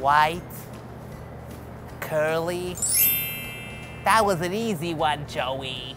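A cartoonish character voice at middle pitch, very slow, with long, frequent pauses over clear background noise. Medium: puppet. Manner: playful, goofy.

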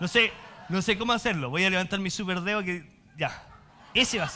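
A man with a Chilean accent speaks in a raised, projected voice at a high pitch and a moderate pace. His tone is bright, sharp and animated. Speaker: pastor. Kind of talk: sermon, preacher warmly teaching the congregation with jokes, then closing in prayer. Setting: church with congregation. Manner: animated, humorous and conversational, colloquial asides, lively preacher's cadence. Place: church.

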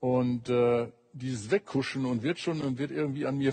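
Against a quiet background, a man talks at a moderate pace. His voice is somewhat breathy. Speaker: talk show guest. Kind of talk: panel discussion argument. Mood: alarmed, indignant. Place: studio.

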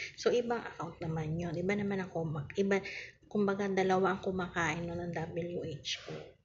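This woman speaks at a moderate pace. There is light background noise behind her. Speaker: online seller hosting live raffle. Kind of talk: casual live-stream chat. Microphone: phone near.

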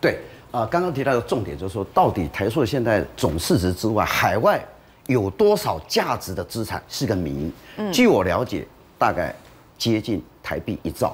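At a moderate pace, a man talks with vocal fry and very wide swings in pitch. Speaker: talk show guest commentator. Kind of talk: commentary. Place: studio.

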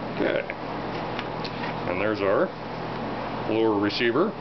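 A man speaks at a medium speed while heavy noise fills the background. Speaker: gun takedown video narrator. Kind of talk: tutorial. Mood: relaxed, offhand. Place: workshop.

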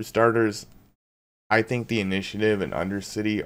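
This man has an unremarkable speaking voice with a fairly low pitch. He talks at a fairly quick pace. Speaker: card game deck reviewer. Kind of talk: casual talk to camera. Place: home room.

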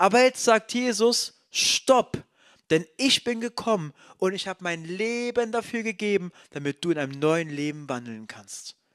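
Against a quiet background, a man is speaking. He goes at a fairly slow pace. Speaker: preacher. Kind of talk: sermon. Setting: church. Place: church. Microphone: handheld.

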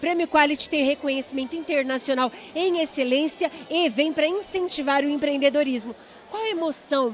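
With faint music in the background and a dry sound with no echo, a woman speaks at a moderate pace in a high pitch, with an upbeat tone and ordinary pitch variation. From São Paulo state, Brazil. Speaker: TV presenter. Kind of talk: event interview questions. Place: hall. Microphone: handheld.

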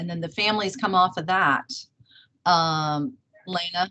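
At a fairly slow rate, a woman talks. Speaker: conference host or moderator. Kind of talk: casual moderator chat reading comments. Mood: friendly, relaxed. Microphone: video call.

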